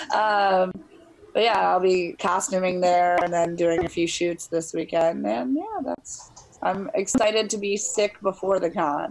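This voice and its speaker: With an American accent, a woman speaks at a medium pitch and a fairly slow pace over noticeable background noise. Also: ordinary pitch variation. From Chicago. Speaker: actor and model, cosplayer. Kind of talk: casual chat.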